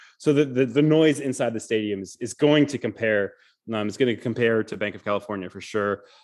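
A man with an American accent talks at a fairly quick pace in an unremarkable speaking voice, medium in pitch with ordinary pitch variation. His loudness swings a lot against a quiet background. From Michigan, US Midwest. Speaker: sports journalist. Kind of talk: casual interview.

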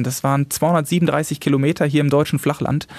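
With an ordinary speaking voice, a man talks at a moderate pace, his pitch fairly high and his intonation fairly even. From Germany, Westphalia (Salzkotten). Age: 30s. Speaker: paraglider pilot and YouTuber. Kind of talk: interview.

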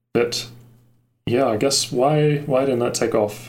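A man talks at a moderate pace, and the room gives audible echo. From Australia. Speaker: tech YouTuber. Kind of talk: casual chat.

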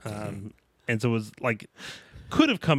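A man with a Southern US accent and medium pitch, in a dry, close sound with no echo, on a very clean recording with a silent background. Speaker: podcast co-host. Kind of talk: casual chat.

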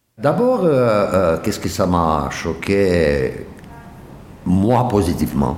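Speaking with a Romanian accent, a man uses a very deep, low pitch and lively intonation at a very slow pace, with long, frequent pauses. Noticeable background noise and audible room echo surround his voice. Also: very even loudness. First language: Romanian (speaking French). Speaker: Romanian community leader, former designer. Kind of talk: interview testimony.

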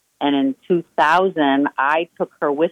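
A woman's voice with a very deep, low pitch. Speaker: diner owner. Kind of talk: radio interview. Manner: excitable.

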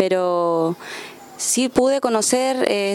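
A woman speaks with ordinary pitch variation. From Coyhaique, southern Chile. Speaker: folk musician and music teacher. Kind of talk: radio interview.

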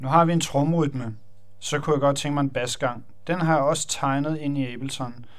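The man's intonation stays fairly even while audible room echo and noticeable background noise fill the recording. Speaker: electronic music producer. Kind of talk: tutorial. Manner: halting.

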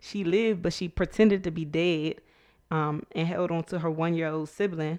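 A woman is speaking in a fairly low voice. Her pitch variation is ordinary. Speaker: podcast co-host; teacher. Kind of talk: casual chat. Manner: soft-spoken.

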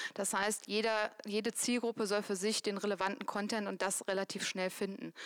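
A woman talks at a fairly quick pace. Her pitch is medium and her intonation flat and monotone. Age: 30s. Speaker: employer branding manager. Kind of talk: live panel talk. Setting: stage with audience.

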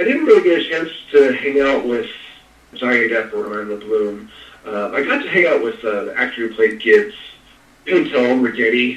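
A man with an American accent talks at a moderate pace, leaving long, frequent pauses. Noticeable background noise and audible room echo surround him. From US West Coast, East Bay Area (Contra Costa County, California). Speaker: actor and stuntman. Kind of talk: casual interview. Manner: halting, many fillers and repetitions.

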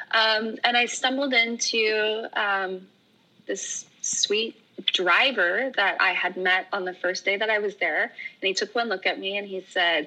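A woman with an American accent has a normal speaking voice and a fairly high pitch. She talks at a fairly slow pace with ordinary pitch variation. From Oregon. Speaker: yoga teacher. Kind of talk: casual chat.

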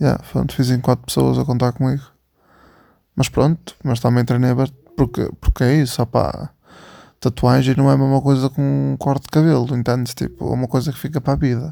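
A man's dark, mellow tone, monotone, flat intonation and fairly quick pace, in a very clean recording with a silent background. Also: medium pitch for a man. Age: 20s. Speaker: podcast host. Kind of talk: casual chat. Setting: in bed at home.

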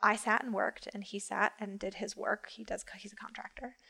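A woman with an American accent, flat monotone intonation, and a very clean recording over a silent background. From Western New York, Rochester. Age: 30s. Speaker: event planner. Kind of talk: casual chat.

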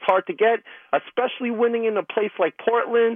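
A man with a high-pitched voice and an American accent. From New York City. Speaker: caller. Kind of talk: casual chat. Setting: phone call.

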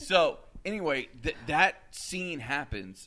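The recording is very clean, with a silent background. A man speaks in a bright, sharp tone with lively intonation. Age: 30s. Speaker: podcast host. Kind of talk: casual chat.

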